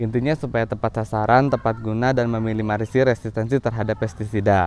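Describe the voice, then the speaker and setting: The man's voice has a dark, mellow tone. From West Java, Bandung Regency. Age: 30s. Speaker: farmer. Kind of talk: self-presentation video for program application. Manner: formal.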